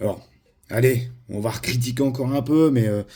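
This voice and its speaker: A man speaks at a moderate pace in a dark, mellow, somewhat breathy voice with ordinary pitch variation. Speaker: model train youtuber. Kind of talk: product review. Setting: home recording with camera operator. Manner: hesitant, many fillers.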